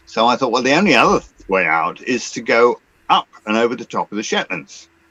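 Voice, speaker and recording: Bright, sharp tone with an English accent, recorded dry and close with no echo. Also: man. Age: 70s. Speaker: sailor and former yachting magazine columnist. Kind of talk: interview answer. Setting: video call.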